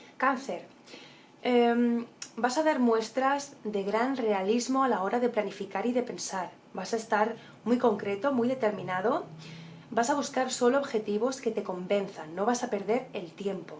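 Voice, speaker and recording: Fairly high female voice, fairly slow in pace, with ordinary pitch variation. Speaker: tarot reader. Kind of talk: horoscope reading. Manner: animated.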